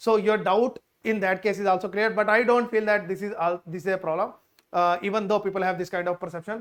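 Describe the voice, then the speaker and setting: A man's high voice at a fairly quick pace, with fairly even intonation. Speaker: immigration consultant. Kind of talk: tutorial. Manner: fast.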